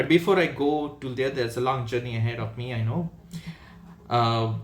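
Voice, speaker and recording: At a moderate pace, a somewhat breathy man speaks at a medium pitch with ordinary pitch variation. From India. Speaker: design manager and mentor. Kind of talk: casual vlog monologue. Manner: unscripted, halting with fillers.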